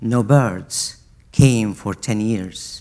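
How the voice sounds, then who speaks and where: A man talks with music playing in the background. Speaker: poet. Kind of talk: scripted storytelling.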